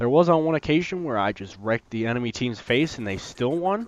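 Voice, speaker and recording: Against a quiet background, a man at medium pitch speaks with very wide pitch swings. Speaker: gaming youtuber. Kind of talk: gameplay commentary. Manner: hesitant, many fillers.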